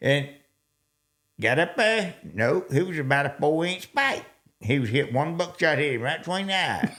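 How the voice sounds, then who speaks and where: Speaking with a Southern US accent, a man keeps to a moderate pace. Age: old. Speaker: hunter. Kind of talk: storytelling in podcast interview.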